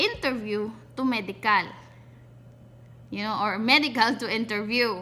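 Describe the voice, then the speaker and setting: A woman speaks with a Visayan accent. Her voice is fairly high and has a bright, sharp tone. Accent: Bisaya accent in Tagalog. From Visayas, Philippines. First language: Cebuano (Bisaya) (speaking Tagalog). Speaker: vlogger. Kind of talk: casual vlog, personal experience tutorial. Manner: halting, self-correcting.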